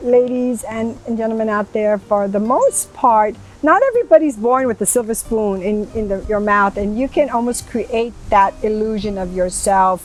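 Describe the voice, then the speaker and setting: A woman talks at a moderate pace with a fairly high pitch and ordinary pitch variation. There is noticeable background noise. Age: 70s. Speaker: talk show host. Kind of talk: interview chat. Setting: outdoors in a garden. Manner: animated.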